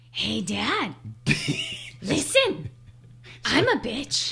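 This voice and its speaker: Against light background noise, the speaker uses a put-on character voice. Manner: comedic, playful.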